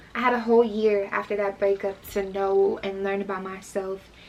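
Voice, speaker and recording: Noticeable background noise accompanies a woman whose voice is pitched in the middle range. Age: 20s. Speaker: vlogger. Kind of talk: storytime vlog. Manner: animated.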